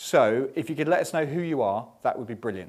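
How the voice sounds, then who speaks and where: Using vocal fry, a man speaks at a moderate pace and a fairly high pitch, his pitch swinging very widely. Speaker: magazine editor. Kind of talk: live interview and event hosting. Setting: showroom with live audience.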